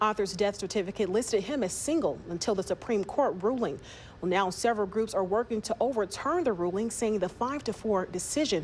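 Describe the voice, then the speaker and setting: A woman uses a normal speaking voice and talks fairly quickly. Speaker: news anchor. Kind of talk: TV news anchoring. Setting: studio.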